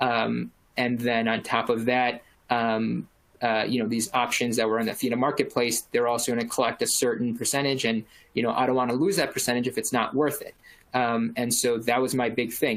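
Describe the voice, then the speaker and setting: Here a man has an unremarkable speaking voice. He talks fairly quickly with fairly even intonation. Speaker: practice manager at a clinic. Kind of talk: webinar presentation. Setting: webinar. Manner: many filler words.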